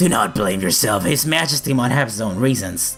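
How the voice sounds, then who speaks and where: A man's raspy, gravelly put-on character voice at medium pitch, with lively intonation, a fairly quick pace and clear music in the background. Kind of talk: formal, courtly.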